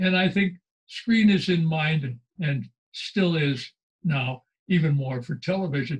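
Over a quiet background, a man with a high voice talks fairly slowly and with lively intonation. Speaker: writer and former journalist; former journalist. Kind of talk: interview. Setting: video call. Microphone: video call.

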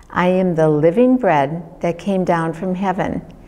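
Over music in the background, a woman with a fairly low voice talks at a fairly slow pace. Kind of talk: devotional reading. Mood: calm, reverent. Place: home room.

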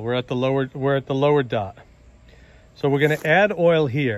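The speech moves at a moderate pace with ordinary pitch variation. The sound is dry, with no echo. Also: man. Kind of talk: tutorial. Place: garden. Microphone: phone near.

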